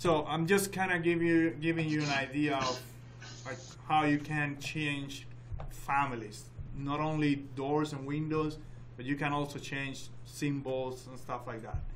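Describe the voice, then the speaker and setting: A man speaks at a fairly slow pace, his fairly high pitch held in fairly even intonation. Noticeable background noise and audible room echo fill the recording. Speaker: software instructor. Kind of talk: tutorial.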